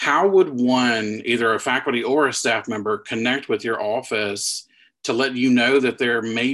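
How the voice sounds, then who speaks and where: A man speaks at a moderate pace with a medium pitch. He has a plain, everyday voice. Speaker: podcast co-host. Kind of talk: interview, professional chat.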